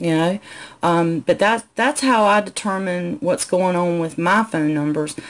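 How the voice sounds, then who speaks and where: A woman with a Southern accent speaks with lively intonation. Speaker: business coach. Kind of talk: live stream Q&A tutorial. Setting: live video stream from home. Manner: conversational, frequent fillers.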